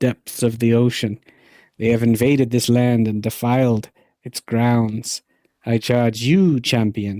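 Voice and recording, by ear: Here someone is reading aloud in a natural voice. The surroundings are quiet.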